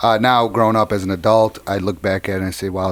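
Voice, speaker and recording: With a Chicago accent, a man speaks very fast in a fairly low voice with fairly even intonation, recorded very cleanly against a silent background. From Chicago South Side. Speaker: podcast host, lawyer. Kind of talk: interview conversation.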